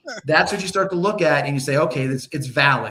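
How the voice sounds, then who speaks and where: A man is talking. His pace is fairly quick. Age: 60s. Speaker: sports podcast co-host. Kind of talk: casual chat. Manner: halting, many restarts and repetitions.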